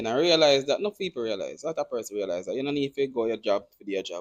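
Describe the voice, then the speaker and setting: Recorded very cleanly with a silent background, a man with a Jamaican accent speaks with very wide pitch swings. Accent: Jamaican English with patois features. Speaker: podcast host. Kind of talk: casual chat.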